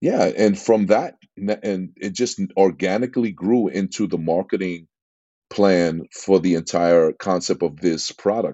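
A man speaks with an East Coast US accent at a very deep, low pitch. His pace is fairly slow and his intonation fairly even. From New York, Queens. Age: 50s. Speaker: entrepreneur, former music producer. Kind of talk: interview.

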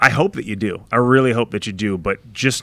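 With an American accent, a man speaks on a very clean recording with a silent background. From New York area. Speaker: brand strategist. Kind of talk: casual interview.

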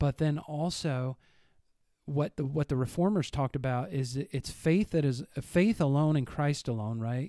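With an American accent and a dark, mellow tone, a man speaks at a moderate pace with ordinary pitch variation on a very clean recording with a silent background. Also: dry, close sound with no echo. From US Midwest. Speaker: church podcast co-host discussing the Bible. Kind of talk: casual Bible discussion. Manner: rambling.

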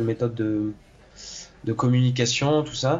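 Noticeable background noise runs under a man's voice. He speaks at a medium pitch and a fairly slow pace. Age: 20s. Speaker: engineer turned aspiring actor. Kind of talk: interview. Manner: halting, many hesitations and repetitions.

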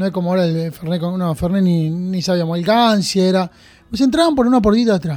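Over a very clean recording with a silent background, a man with an Argentine accent and a high pitch talks at a fairly quick pace with ordinary pitch variation. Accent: Rioplatense Argentine Spanish. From Argentina, Junín (Buenos Aires province). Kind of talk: casual interview. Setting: studio.

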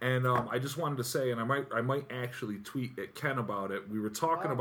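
Over noticeable background noise, a man with an American accent talks at a very fast pace and a medium pitch. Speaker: podcast co-host and musician. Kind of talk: casual chat. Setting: studio.

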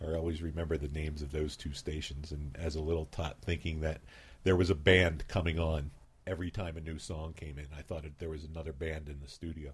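The speech comes at a fairly quick clip with flat, monotone intonation and a somewhat breathy quality. The recording is very clean, with a silent background. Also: man, very deep, low pitch for a man. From Philadelphia, US. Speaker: community radio station founder. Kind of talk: radio interview. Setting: radio studio.

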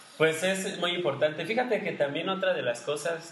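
Lively male intonation amid noticeable background noise and audible room echo. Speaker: podcast co-host, former seminarian. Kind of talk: casual chat.

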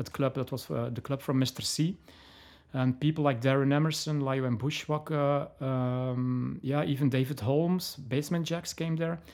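A man's fairly high voice with a Flemish accent, fairly even intonation and a moderate pace. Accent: Belgian (Flemish) accent in English. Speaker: DJ and label owner. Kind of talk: interview. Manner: halting, many fillers and restarts.

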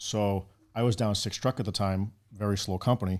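In a very clean recording with a silent background, a man with a Boston accent speaks at a fairly low pitch with fairly even intonation. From Boston, Massachusetts. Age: 40s. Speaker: firefighter. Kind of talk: casual interview. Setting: studio.

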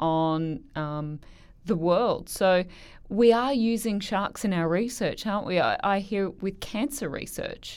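In an Australian accent, the speaker talks at a very slow pace with lively intonation. The recording is very clean, with a silent background. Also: woman. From Queensland, Australia. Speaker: podcast host. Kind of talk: interview.

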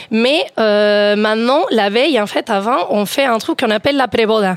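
A woman speaks fairly slowly in an unremarkable speaking voice, with a fairly high pitch and ordinary pitch variation. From Spain. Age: 30s. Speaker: radio panelist. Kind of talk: casual chat.

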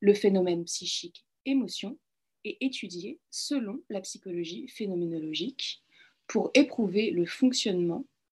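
A woman with lively intonation and a somewhat breathy voice speaks at a fairly slow pace. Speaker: philosophy doctoral student and clinical psychologist. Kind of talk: lecture. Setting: video call.

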